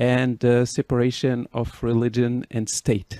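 A man in a dry, close sound with no echo, on a very clean recording with a silent background. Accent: Moroccan. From Morocco. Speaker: podcast host. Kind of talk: interview. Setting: in person.

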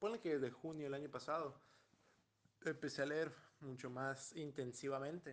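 At a moderate pace and with long, frequent pauses, a man talks in a fairly high pitch with fairly even intonation. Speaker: guest reader. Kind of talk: casual chat.

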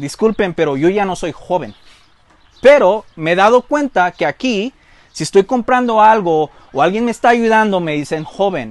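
The pitch of this man's voice is high and swings very widely. He keeps a moderate pace. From Mexican-born, grew up in the US. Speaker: pastor. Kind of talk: sermon. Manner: halting, with frequent repetitions.

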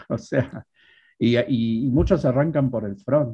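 The man's voice sounds somewhat breathy. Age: 50s. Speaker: programming instructor. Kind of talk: interview.

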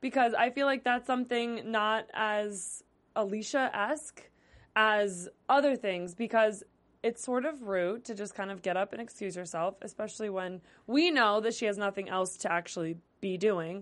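Here is a woman with a normal speaking voice, pitched fairly high, talking at a moderate pace with lively intonation. The background is quiet. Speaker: TV after-show host. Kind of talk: casual chat. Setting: studio.

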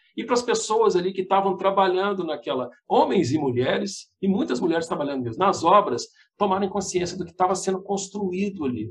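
A man speaks at a fairly quick pace with lively intonation. His voice is high-pitched for a man. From Belo Horizonte, Minas Gerais, Brazil. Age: 50s. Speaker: TV journalist. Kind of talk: casual interview.

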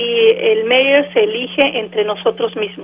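In a normal speaking voice, a woman talks at a fairly slow pace. Her pitch is fairly high, with ordinary pitch variation. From Mexico City, moved to US at 14. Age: 40s. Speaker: city mayor. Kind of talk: radio interview.

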